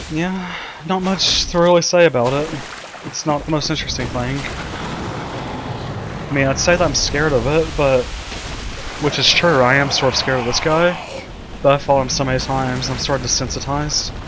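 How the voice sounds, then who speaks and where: With audible room echo and noticeable background noise, a man talks at a moderate pace in a fairly high pitch, keeping his intonation fairly even. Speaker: gaming YouTuber. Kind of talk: gameplay commentary. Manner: casual, halting.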